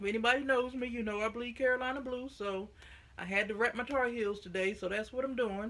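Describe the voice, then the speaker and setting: A woman's fairly high voice in an American accent, at a moderate pace with ordinary pitch variation. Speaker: knitting vlogger. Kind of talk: casual vlog chat. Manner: animated.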